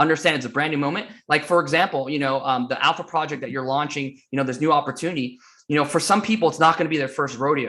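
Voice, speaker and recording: Talking very fast with an American accent, a man barely pauses. His pitch is fairly high, his tone bright and sharp, and his intonation fairly even. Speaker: motivational speaker. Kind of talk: interview.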